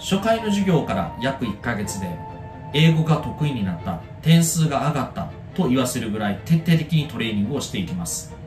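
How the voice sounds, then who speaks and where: A man speaks at a fairly quick pace, his pitch medium and swinging very widely. Clear music plays in the background. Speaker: tutor. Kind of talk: self-introduction promo to camera. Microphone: phone near.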